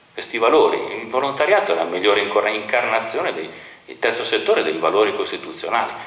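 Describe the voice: Over strong room echo, a man speaks at a fairly quick pace in a fairly bright tone, with fairly low pitch and lively intonation.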